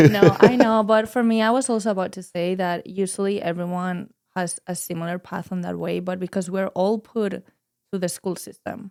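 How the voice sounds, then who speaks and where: A woman at medium pitch speaks at a moderate pace with fairly even intonation and big swings in loudness. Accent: Spanish. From Spain, Madrid. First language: Spanish. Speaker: wellness charity co-founder. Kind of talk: podcast interview.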